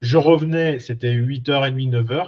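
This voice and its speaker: The background is quiet as a man speaks at a moderate pace, somewhat breathy. His pitch is medium, with ordinary variation. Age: 40s. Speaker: career coach, former mechanic. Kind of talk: personal story monologue. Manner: hesitant, many fillers.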